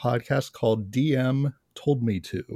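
An unremarkable speaking voice with ordinary pitch variation, in a very clean recording with a silent background and a dry, close sound with no echo. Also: man. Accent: American. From upstate New York. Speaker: podcast host. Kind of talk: interview.

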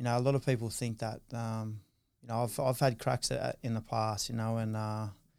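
In an Australian accent, a man speaks at medium pitch and a moderate pace with a dark, mellow tone and monotone, flat intonation, on a very clean recording with a silent background. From Australia, Newcastle NSW. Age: 30s. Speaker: former rugby league player. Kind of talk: interview, casual chat.

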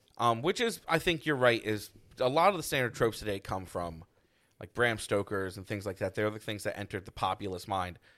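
At a fairly quick pace, a man speaks with an ordinary speaking voice, fairly low in pitch and lively in intonation. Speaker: podcast co-host. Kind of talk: casual banter podcast chat.

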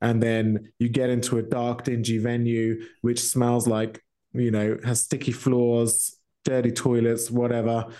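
Speaking with a British accent, a man keeps a monotone, flat intonation at a medium pitch, his dark, mellow tone moving at a fairly slow pace. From England. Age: 30s. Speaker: metal vocalist. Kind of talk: casual chat.

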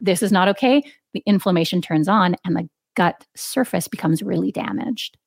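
With a Canadian accent, a woman talks at a fairly quick pace and medium pitch, her intonation lively and marked by vocal fry. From Canada. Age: 40s. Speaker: registered dietitian and author. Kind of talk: interview. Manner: accessible, clear explanations.

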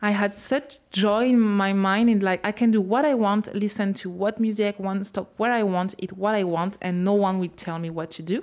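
A woman with a French accent, medium pitch and ordinary pitch variation, at a moderate pace with hardly any pauses. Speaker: podcast host. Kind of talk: interview. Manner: halting.

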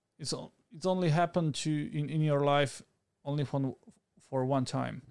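Speaking at a moderate pace with ordinary pitch variation, a man with a fairly high pitch shows big swings in loudness and long, frequent pauses. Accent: Slovak. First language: Slovak. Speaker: YouTuber and videographer. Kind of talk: casual interview. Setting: live stream. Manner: halting.

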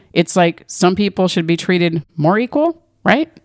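In an angry tone, a woman speaks at a moderate pace and medium pitch with very wide pitch swings, the sound dry and close with no echo. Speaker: podcast host. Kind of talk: solo opinion rant about politics and news, casual monologue. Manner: angry, sarcastic, profane, fired-up ranting.

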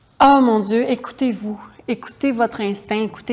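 A woman's unremarkable speaking voice, fairly even in intonation, at a moderate pace. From Quebec, Charlevoix region. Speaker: writer and actress. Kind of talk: interview.

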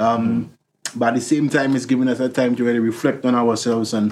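Talking at a very fast pace, a man with a St Lucian accent holds a medium pitch in a monotone, flat intonation. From St Lucia, Soufrière. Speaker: musician. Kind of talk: interview.

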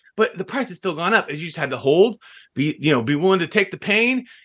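Very fast and loudly projected, a man's high, bright, sharp voice swings very widely in pitch. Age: 40s. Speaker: podcast host and business owner. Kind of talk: casual interview.

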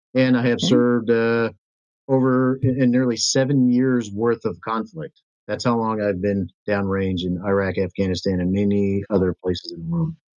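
The pitch rises and falls in an ordinary way. It is an unremarkable speaking voice. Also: man, medium pitch for a man, moderate pace. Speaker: state senate candidate and military veteran. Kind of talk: interview.

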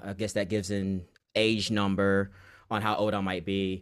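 On a very clean recording with a silent background, a man speaks at a moderate pace with a fairly low pitch in a plain, everyday voice. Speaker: Sims content creator. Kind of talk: casual interview chat.

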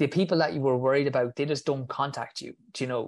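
Against a quiet background, a man with an Irish accent talks with fairly even intonation. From Ireland. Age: 30s. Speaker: physiotherapist and runner. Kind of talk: casual interview.

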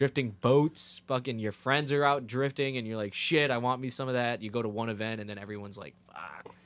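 A man speaks at a fairly quick pace with a New Jersey accent. His loudness swings widely. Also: medium pitch for a man, ordinary pitch variation. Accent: New Jersey American. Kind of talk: casual chat. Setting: studio. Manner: animated.

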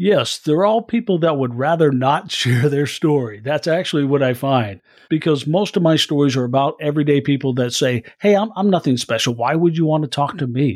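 On a very clean recording with a silent background, a man with an American accent and a normal speaking voice talks at a fairly quick pace with hardly any pauses, a fairly high pitch, lively intonation and very even loudness. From US Midwest, Iowa. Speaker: news anchor and producer. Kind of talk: interview conversation.

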